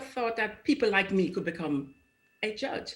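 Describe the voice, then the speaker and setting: A woman speaks with a Jamaican accent at a moderate pace. Her tone is bright and sharp, and her pitch varies in an ordinary way. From Jamaica, Kingston. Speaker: judge. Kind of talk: TV interview. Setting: video call.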